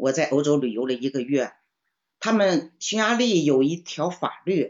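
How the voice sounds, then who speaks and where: A woman talks at a moderate pace. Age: 70s. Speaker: book club participant, retiree. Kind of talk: casual chat.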